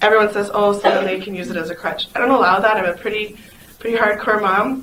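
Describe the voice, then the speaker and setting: Over noticeable background noise and audible room echo, a woman talks very fast in an animated tone, her medium pitch showing ordinary variation. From South Dakota, near Pine Ridge. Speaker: conference speaker, foster mom and nurse. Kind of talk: conference talk.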